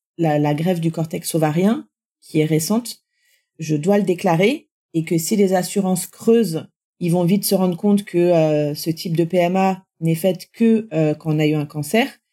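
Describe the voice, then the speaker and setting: A woman speaks fairly slowly in a fairly low voice with a dark, mellow tone. Her pitch varies in an ordinary way, and the recording is very clean with a silent background. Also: very even loudness. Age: 40s. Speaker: cancer survivor and patient association assistant. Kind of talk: testimony. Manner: halting.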